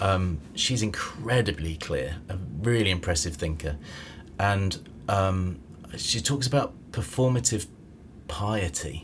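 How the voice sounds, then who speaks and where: A man speaks in a normal speaking voice at a fairly slow pace. His intonation is lively. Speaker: podcast host. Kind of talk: casual conversation.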